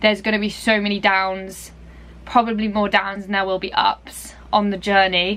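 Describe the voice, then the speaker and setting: Using an English accent, a woman speaks at a moderate pace and medium pitch in a bright, sharp tone. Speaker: dressage rider and vlogger. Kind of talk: casual vlog talk. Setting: at a showground. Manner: quiet.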